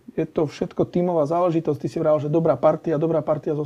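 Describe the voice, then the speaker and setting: With a Slovak accent, a man talks at a very fast pace in a fairly high voice. His tone is dark and mellow, and his intonation stays monotone and flat. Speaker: podcast host. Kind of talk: casual interview.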